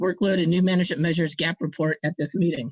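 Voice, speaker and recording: A woman speaks in a somewhat breathy voice. Her medium pitch shows ordinary variation. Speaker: advisory panel representative. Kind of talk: formal report presentation.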